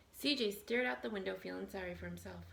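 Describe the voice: A woman talks at a fast pace with a medium pitch and ordinary pitch variation. Her fairly bright tone carries some vocal fry.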